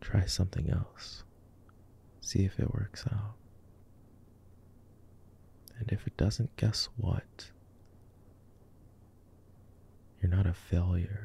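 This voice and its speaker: Whispering and soft-spoken, the speaker keeps a calm tone at a very slow pace with long, frequent pauses, in dry sound with no echo over light background noise. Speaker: voice actor. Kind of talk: soothing calming monologue. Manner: soft, calm, comforting whisper.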